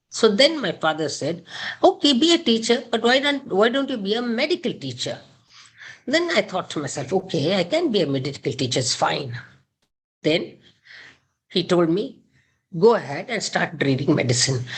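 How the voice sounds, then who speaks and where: A woman with vocal fry speaks at a moderate pace, her pitch swinging very widely, with long, frequent pauses. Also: medium pitch for a woman. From India, Karnataka. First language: Kannada. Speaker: gynaecologist. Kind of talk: interview.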